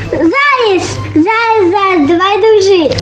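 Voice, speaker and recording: An extremely high-pitched, put-on character voice speaks over loud background music. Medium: read story. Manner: eager, repetitive calling.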